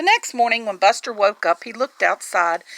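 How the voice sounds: Heard dry and close with no echo, a woman speaks with vocal fry and a bright, sharp tone.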